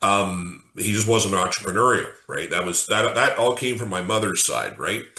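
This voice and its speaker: In an ordinary speaking voice, a man talks at a moderate pace with a fairly low pitch, fairly even intonation and hardly any pauses. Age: 50s. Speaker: podcast host interviewing contractors. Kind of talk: casual interview conversation.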